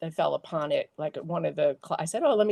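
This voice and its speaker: Against a quiet background, a woman is recorded with a dry, close sound and no echo. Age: 60s. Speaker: visual artist (pastel painter). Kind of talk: interview. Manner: halting, many fillers.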